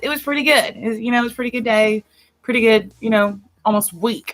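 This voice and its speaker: This woman talks loudly in a Southern US accent. Her fairly high pitch carries a bright, sharp tone. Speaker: podcast co-host. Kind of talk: casual chat.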